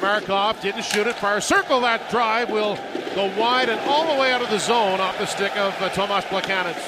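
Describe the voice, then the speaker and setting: Over noticeable background noise, a man uses a raised, projected voice at high pitch, with an animated tone, ordinary pitch variation and very even loudness. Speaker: radio play-by-play announcer. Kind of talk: live sports commentary. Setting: radio broadcast from the arena. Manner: fast, rhythmic, animated play-by-play delivery.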